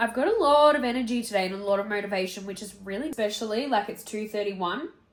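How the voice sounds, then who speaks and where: A woman with an Australian accent speaks at a very fast pace and medium pitch. Her pitch varies in an ordinary way, with noticeable background noise behind her. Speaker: photographer and content creator. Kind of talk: casual vlog.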